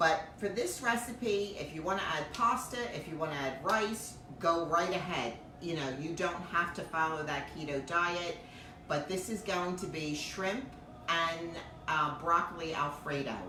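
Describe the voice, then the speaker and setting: In a room with audible echo and noticeable background noise, a woman speaks fairly slowly at a fairly low pitch with ordinary pitch variation. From New Jersey. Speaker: home cooking show host. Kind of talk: live cooking stream chat. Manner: loud.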